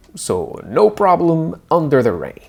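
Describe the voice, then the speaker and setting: A man with a French Canadian accent and very wide pitch swings. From Quebec. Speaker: tech reviewer. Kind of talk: product review tutorial.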